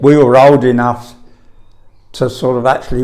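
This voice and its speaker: A man with a London accent at a medium pitch. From London (Camberwell). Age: 80s+. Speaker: elderly eyewitness answering school children's questions. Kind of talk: oral history interview. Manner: halting, with frequent repetitions.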